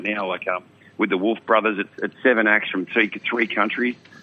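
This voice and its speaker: A man's fairly low voice in an Australian accent, at a fairly quick pace with fairly even intonation. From Australia, mid-north coast New South Wales. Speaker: country singer. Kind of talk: radio interview. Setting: outdoors. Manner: casual.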